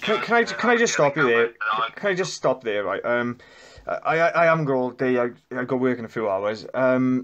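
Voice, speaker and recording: A man speaks at a medium pitch in a normal speaking voice against a quiet background. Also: ordinary pitch variation, moderate pace. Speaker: debtor caller. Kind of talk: phone call dispute.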